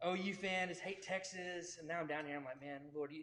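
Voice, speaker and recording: An ordinary speaking voice from a man with an American accent, at a moderate pace with ordinary pitch variation. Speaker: pastor. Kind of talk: interview.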